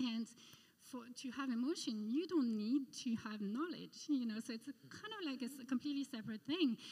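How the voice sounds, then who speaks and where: Speaking fairly quickly with a French accent, a woman uses a high pitch, a dark, mellow tone, ordinary pitch variation and a nervous tone. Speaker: art curator. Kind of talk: testimony. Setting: church.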